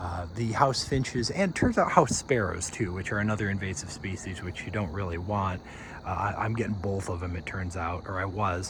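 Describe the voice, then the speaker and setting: Audible room echo surrounds a man with a very deep, low voice. His pace is moderate and his pitch variation ordinary. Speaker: backyard birdwatcher vlogger. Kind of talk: casual video update. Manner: soft-spoken.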